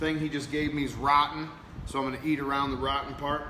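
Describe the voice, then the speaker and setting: A man with an American accent talks at a fairly quick pace in an animated tone and fairly high pitch. Audible room echo and noticeable background noise are present. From Kansas, US. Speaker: podcast host. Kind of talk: casual chat.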